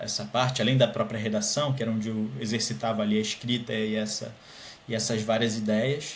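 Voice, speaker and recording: Amid noticeable background noise and audible room echo, a man speaks with a Carioca accent at a medium pitch. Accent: carioca (Rio de Janeiro) Portuguese. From Brazil, Rio de Janeiro. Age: 20s. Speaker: scholarship student, master's student. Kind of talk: podcast interview.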